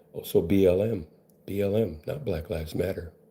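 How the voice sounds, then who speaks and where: Somewhat breathy and dark, mellow in tone, a man speaks at a fairly low pitch with lively intonation. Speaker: benzo recovery coach. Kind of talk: monologue to camera. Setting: live video stream. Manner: casual, rambling delivery.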